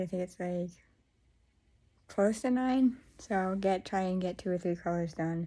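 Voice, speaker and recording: A soft-spoken woman has a dark, mellow tone that is somewhat breathy. Her pitch variation is ordinary, and the recording is very clean with a silent background. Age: 20s. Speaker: crochet vlogger. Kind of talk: casual vlog. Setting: at home.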